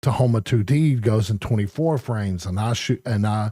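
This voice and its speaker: A man mumbles at a fairly low pitch and a fairly slow pace, with ordinary pitch variation. The recording is very clean, with a silent background. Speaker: gaming streamer. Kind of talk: casual live-stream chat. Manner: mumbling; halting.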